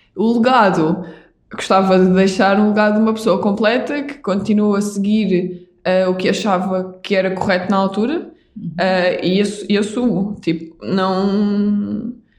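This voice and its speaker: A woman speaks at a fairly slow pace in a medium pitch, her intonation fairly even. Audible room echo surrounds her voice. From Portugal, Algarve (Vila Real de Santo António). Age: 20s. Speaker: doctor and padel athlete. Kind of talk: interview conversation.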